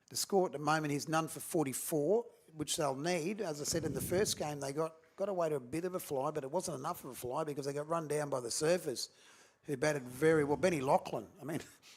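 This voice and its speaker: A man with an Australian accent at a very fast pace, fairly high in pitch, with ordinary pitch variation. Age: 60s. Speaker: cricket commentator. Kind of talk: live commentary.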